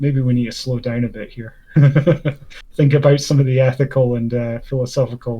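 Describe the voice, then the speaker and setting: In a Scottish accent, a man speaks at medium pitch and a moderate pace. His tone is dark, mellow and somewhat breathy, his intonation a flat monotone. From Scotland. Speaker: debate channel host. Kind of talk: casual debate discussion. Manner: halting, many fillers.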